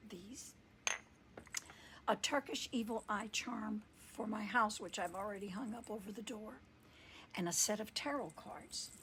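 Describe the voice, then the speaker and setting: A woman whispers, soft-spoken and fairly slow, leaving long, frequent pauses between her words. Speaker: podcast host and tarot reader. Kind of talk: casual storytelling monologue. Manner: whispering, soft.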